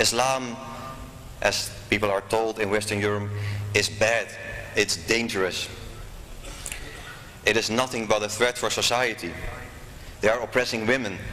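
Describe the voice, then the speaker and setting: Noticeable background noise sits under a man with a medium pitch and fairly even intonation. He keeps a moderate pace and very even loudness, with long, frequent pauses. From Netherlands. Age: 40s. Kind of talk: speech.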